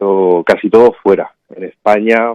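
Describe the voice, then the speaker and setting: The speaker is a man with a fairly low pitch. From Ceuta, Spain. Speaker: biologist and vertical garden expert. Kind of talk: radio interview. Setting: radio interview.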